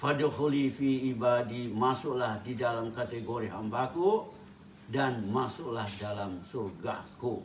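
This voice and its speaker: A man speaks at a very slow pace. Audible room echo is heard around his voice. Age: 70s. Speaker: Islamic preacher, professor. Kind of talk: religious talk.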